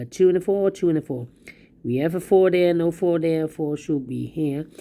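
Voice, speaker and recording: The tone is dark and mellow, and the intonation is lively. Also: woman. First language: not English. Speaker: sudoku instructor. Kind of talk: puzzle solving tutorial.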